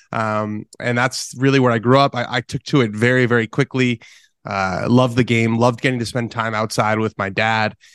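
A man with an American accent talks at a fairly quick pace and a medium pitch, using fairly even intonation and a normal speaking voice. The sound is dry and close with no echo, over a quiet background. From US West Coast, Los Angeles. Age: 20s. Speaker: golf journalist and podcaster. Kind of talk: interview.

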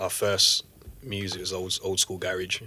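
Fairly slow and fairly low in pitch, a man speaks with a bright, sharp tone. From Birmingham, England. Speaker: garage/house MC. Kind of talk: casual chat.

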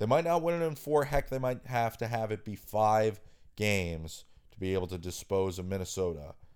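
A man's medium-pitched, unremarkable speaking voice at a moderate pace, with lively intonation, on a very clean recording with a silent background. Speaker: sports talk radio host. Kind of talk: radio sports-talk show host patter, teasing segments and breaks.

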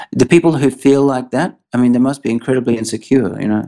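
The pitch varies in an ordinary way, with an Australian accent. The background is quiet. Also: man. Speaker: tech startup CEO. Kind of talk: interview.

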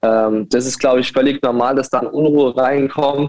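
With a normal speaking voice, a man talks at a medium pitch and with fairly even intonation. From Saarbrücken, Germany. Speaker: football coach. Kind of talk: casual interview. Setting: call-in remote.

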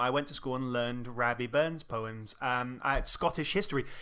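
A man's medium-pitched voice, bright and sharp in tone, at a fairly quick pace with fairly even intonation, on a very clean recording against a silent background. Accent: English. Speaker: film podcast co-host. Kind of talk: casual chat. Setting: home recording in a flat.

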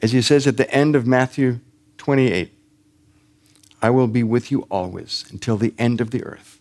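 A man talks at a moderate pace with a medium pitch and fairly even intonation. His delivery has long, frequent pauses and a dry, close sound with no echo. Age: 60s. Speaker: missionary pastor. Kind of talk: sermon. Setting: church service with congregation.

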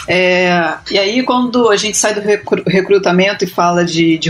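With a Rio de Janeiro accent, a woman talks at a fairly slow pace. Her medium pitch shows ordinary variation. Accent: carioca accent, noticeable. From Rio de Janeiro, Brazil. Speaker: UX researcher. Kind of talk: casual panel discussion.

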